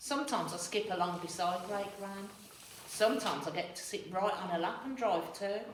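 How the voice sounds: The reading voice here is natural.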